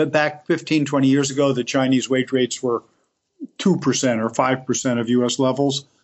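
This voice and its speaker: With an American accent, a man speaks at a fairly slow pace in a medium pitch with ordinary pitch variation. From US Northeast, Elizabeth, New Jersey. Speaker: manufacturing advocate, former company president. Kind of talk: interview. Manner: halting, many repetitions.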